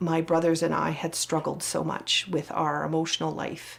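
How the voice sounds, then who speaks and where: A woman's fairly low voice with vocal fry. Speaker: residential school survivor descendant. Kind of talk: testimony.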